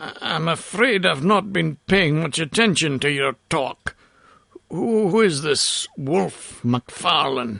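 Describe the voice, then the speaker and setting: A raspy put-on character voice moves at a fairly slow pace with lively intonation, recorded dry and close with no echo. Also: man, fairly high pitch for a man. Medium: read story. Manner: forcible and earnest.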